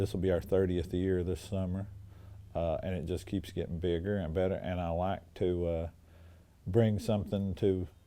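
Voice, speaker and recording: The man's voice is very deep and low, with a dark, mellow tone. He keeps a monotone, flat intonation at a moderate pace. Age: 60s. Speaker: comic book store owner. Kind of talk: interview. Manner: halting, many fillers.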